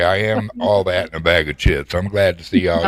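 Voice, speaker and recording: A man speaks at a moderate pace with a strong Southern US accent. Noticeable background noise runs underneath. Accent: deep Southern US. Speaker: guest on live audio chat show. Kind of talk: casual, folksy slang.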